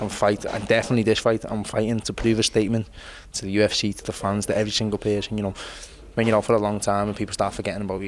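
The intonation is monotone and flat. A man delivers it very fast at a fairly low pitch. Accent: Liverpool. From Liverpool. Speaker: mixed martial arts fighter. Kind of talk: interview answer.

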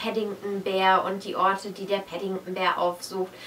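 A woman talks at a moderate pace, with light background noise present. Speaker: book vlogger. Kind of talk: casual vlog chat. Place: home room. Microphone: camera far.

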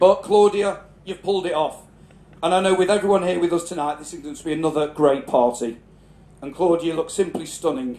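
A man with a northern English accent talks very fast in a high, dark, mellow voice with ordinary pitch variation and audible room echo. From northern England, Cheshire. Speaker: father of the celebrant giving a speech. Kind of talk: family celebration speech. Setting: garden party with live audience. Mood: warm, proud, humorous. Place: tent. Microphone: handheld.

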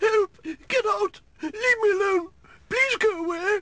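Extremely high pitch and a fairly slow pace in a put-on character voice

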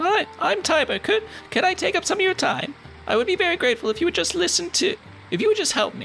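A put-on character voice at a very fast pace, over clear music in the background. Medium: game stream. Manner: nervous, pleading.

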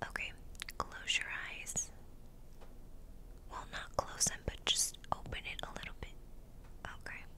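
A woman whispers at a fairly slow pace. Her speech has long, frequent pauses. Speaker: ASMR creator in makeup roleplay. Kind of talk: ASMR roleplay, friend doing your makeup. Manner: soft-spoken, whispery. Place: home room. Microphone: studio mic.

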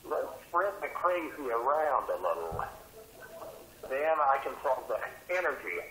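At a fairly slow pace, a man with a medium pitch and a bright, sharp tone makes big pitch swings, with audible room echo around him.

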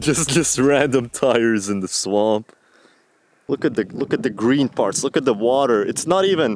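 A man at a moderate pace with lively intonation and very even loudness, in a dry sound with no echo and noticeable background noise. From Latvia. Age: 20s. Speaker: videographer; camera vlogger. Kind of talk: vlog gear review. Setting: outdoors in a swamp. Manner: casual, hesitant. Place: forest. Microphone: phone near.

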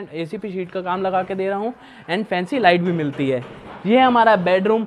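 Here a man talks at a moderate pace. His pitch sits high. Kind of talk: property tour presentation. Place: home room.

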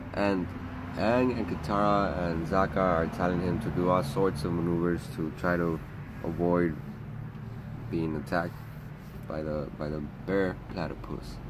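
A man speaks fairly slowly, pausing often and at length, while noticeable noise fills the background. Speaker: vlogger. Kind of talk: casual vlog chat, episode summary. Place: garden. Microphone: phone near.

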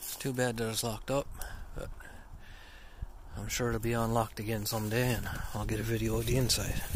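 In a room with audible echo, a man talks at a medium pitch and moderate pace with fairly even intonation.

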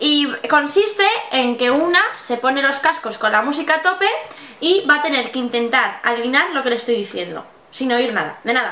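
A woman with a high voice projects loudly at a moderate pace, her intonation lively, with audible room echo in the space. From Spain. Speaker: makeup artist and blogger. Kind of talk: casual talk to camera, vlog. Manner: lively, joking, laughing. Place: home room.

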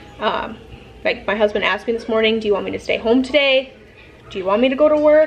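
Faint music plays in the background as a woman talks with ordinary pitch variation. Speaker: pregnant mother vlogger. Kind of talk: casual vlog chat. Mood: anxious but calm. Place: home room. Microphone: phone near.

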